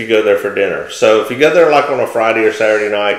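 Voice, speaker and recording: A man speaks in a room with audible echo. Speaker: real estate agent co-host. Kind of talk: casual conversational commentary. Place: office.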